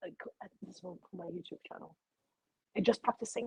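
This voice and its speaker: A somewhat breathy woman with a Russian accent, at a moderate pace with ordinary pitch variation, in dry, close sound without echo. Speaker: YouTuber. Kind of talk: personal interview. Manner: halting.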